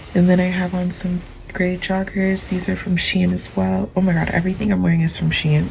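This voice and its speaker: A soft-spoken woman can be heard through noticeable background noise and audible room echo. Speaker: fashion YouTuber. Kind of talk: casual vlog narration. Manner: slow.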